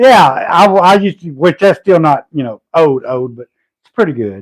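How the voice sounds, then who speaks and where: Heard with a dry, close sound and no echo, a man with a Southern US accent talks at a moderate pace, his fairly high pitch swinging very widely. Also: big swings in loudness. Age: 50s. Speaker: homesteader and logger. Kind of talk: casual livestream chat.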